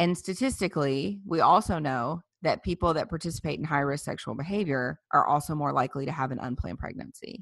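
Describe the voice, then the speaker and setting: Lively intonation and vocal fry mark this very fast speech in a Southern US accent, with hardly any pauses and a quiet background. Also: woman, very deep, low pitch for a woman. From US South, South Louisiana. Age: 30s. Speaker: pro-life activist, former clinic director. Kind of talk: interview.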